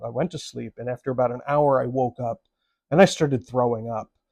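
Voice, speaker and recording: With an American accent, a man speaks at a moderate pace in a dark, mellow tone, the sound dry and close with no echo. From US Midwest. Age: 60s. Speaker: actor and writer, vlogger. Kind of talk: personal storytelling. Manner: conversational.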